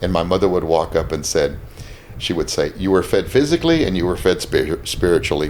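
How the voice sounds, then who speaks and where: Noticeable background noise sits behind the voice. The pace is fairly quick. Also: man. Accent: American. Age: 60s. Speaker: restaurant owner. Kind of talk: casual interview chat. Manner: halting, with frequent repetitions.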